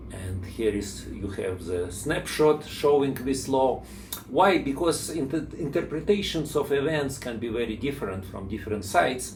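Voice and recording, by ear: A man speaks at a fairly slow pace in a Russian accent.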